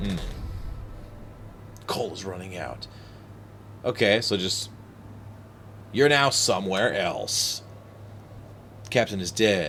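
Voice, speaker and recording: A man speaks at a very slow pace with long, frequent pauses. His loudness swings widely, and audible room echo is present. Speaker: gaming streamer. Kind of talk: let's play commentary. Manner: voice rises when stressed.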